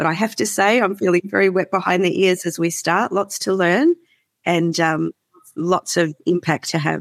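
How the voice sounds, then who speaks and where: A woman with an Australian accent, medium pitch, fairly even intonation, moderate pace and very even loudness, in a dry, close sound with no echo. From Melbourne, Australia. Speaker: CEO of a farmer climate advocacy group. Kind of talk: interview conversation.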